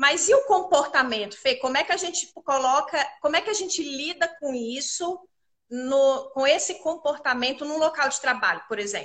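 A woman with a high voice talks at a moderate pace. Her intonation is lively. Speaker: image consultant hosting a live chat. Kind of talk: live online chat. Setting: live stream.

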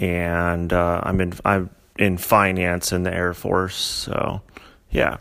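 Very deep and low, the man's voice stays monotone and flat. He speaks at a very slow pace. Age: 30s. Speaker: podcast host, Air Force service member. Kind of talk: personal testimony. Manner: halting, with fillers.

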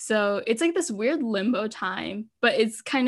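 On a very clean recording with a silent background, the speech moves at a fairly slow pace. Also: woman. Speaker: university art student and podcaster. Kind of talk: casual chat. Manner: hesitant, filler-heavy.

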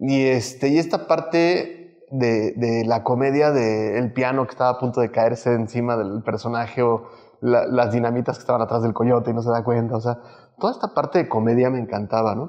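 An unremarkable speaking voice with ordinary pitch variation at a moderate pace. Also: man, medium pitch for a man. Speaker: muralist and illustrator. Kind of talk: casual interview conversation. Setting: artist's studio.

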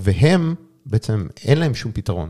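A man speaks with lively intonation and a dark, mellow, somewhat breathy tone, recorded very cleanly with a silent background and a dry, close sound with no echo. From Israel. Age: 30s. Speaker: startup CEO and sales executive. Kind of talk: interview.

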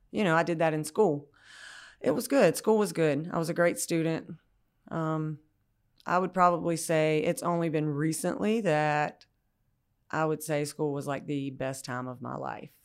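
A woman speaks with a Southern US accent and a very deep, low pitch. Her pace is moderate and her pitch varies in an ordinary way. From US South, rural Georgia. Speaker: recovering addict sharing her story. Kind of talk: personal testimony.

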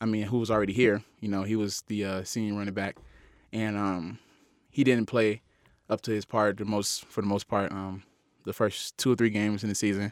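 In an American accent, a man speaks with a monotone, flat intonation at a fairly low pitch. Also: fairly quick pace. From US South, Miami, Florida. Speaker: college football player. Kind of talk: casual interview. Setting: studio.

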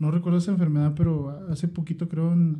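Somewhat breathy and dark, mellow in tone, a man speaks very fast with a Mexican accent in a monotone, flat intonation. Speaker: podcast co-host. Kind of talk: casual chat.

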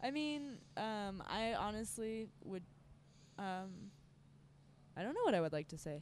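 A woman speaks at a fairly slow pace with long, frequent pauses. Her pitch is medium and her intonation lively. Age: 20s. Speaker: circus performer. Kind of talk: casual chat. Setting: airport terminal. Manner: hesitant, many fillers.

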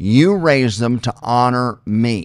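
A man with an American accent at a medium pitch, on a very clean recording with a silent background. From Oklahoma. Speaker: pastor and podcast co-host. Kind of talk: casual chat.

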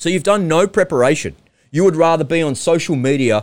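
A man speaks in an animated tone with an Australian accent and lively intonation. The recording is very clean, with a silent background. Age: 40s. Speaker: podcast host. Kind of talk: solo monologue.

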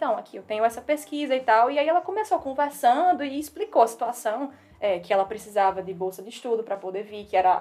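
A woman races along at a very fast pace. Her pitch swings very widely. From Northeast Brazil, Natal. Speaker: civil engineering PhD student. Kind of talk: casual interview chat.

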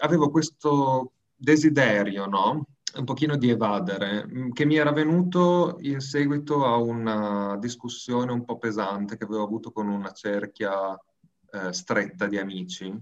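Lively intonation marks a man's plain, everyday voice. He talks at medium pitch and a fairly slow pace. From northern Italy, province of Bologna. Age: 20s. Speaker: events coordinator. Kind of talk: interview.

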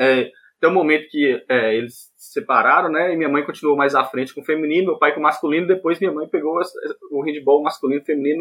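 The delivery comes at a very fast pace with fairly even intonation. Loudness swings widely throughout. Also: man, fairly high pitch for a man. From Montes Claros, northern Minas Gerais, Brazil. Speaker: handball player and physical education student. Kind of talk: casual interview.

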